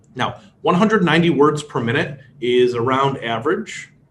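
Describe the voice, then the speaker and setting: A man's fairly high voice with a Chicago accent, lively intonation and a moderate pace. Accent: Chicago American English. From US Midwest, Chicago. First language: Polish. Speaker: speed reading instructor. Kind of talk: workshop lecture.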